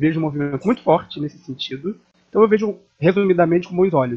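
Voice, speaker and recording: Very fast speech from a man, ordinary pitch variation throughout. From Niterói, Rio de Janeiro state, Brazil. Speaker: theatre activist and journalist. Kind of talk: interview.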